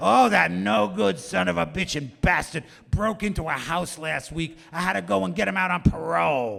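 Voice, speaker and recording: Raspy and put-on, this man's character voice sits at a fairly high pitch. It moves at a moderate pace with very wide pitch swings. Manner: exasperated complaining about a relative.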